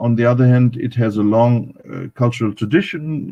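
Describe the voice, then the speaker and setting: A man with a German accent speaks at a moderate pace. His voice sits at a medium pitch, with fairly even intonation. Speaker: academic speaker on Pakistan. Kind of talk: panel talk at live online event. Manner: halting, many fillers.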